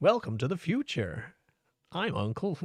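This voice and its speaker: Using a put-on character voice, a man talks at a high pitch with very wide pitch swings. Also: moderate pace. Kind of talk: advertising announcer.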